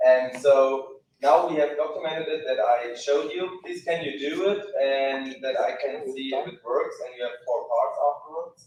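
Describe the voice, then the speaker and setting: A moderately paced male voice, its loudness swinging widely. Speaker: software product demonstrator. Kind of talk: live product demo.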